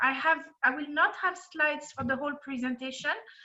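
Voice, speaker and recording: A bright, sharp tone marks this raised, projected voice. The intonation is fairly even. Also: woman. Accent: French. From France. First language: French. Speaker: compensation and benefits consultant. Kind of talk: presentation. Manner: hesitant, many fillers.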